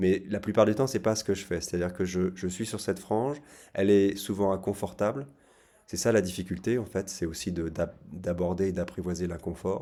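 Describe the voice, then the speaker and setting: On a very clean recording with a silent background, a man speaks at a very deep, low pitch in a dark, mellow tone with fairly even intonation. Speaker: psychotherapist. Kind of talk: casual talk to camera. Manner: fast; halting, repeated words.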